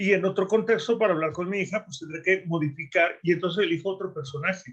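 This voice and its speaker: The man's voice sits at a high pitch with ordinary pitch variation. He talks at a fairly quick pace. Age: 60s. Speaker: coach. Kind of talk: panel discussion.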